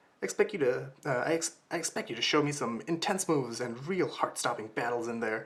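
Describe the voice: What's heard here is plain reading aloud.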